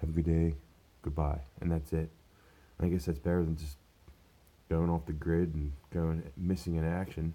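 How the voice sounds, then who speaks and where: The speaker talks at a moderate pace with long, frequent pauses. The tone is dark and mellow, and the intonation stays monotone and flat. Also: man, very deep, low pitch for a man. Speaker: vlogger, manual worker. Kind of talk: casual vlog. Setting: at home. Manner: quieter than usual.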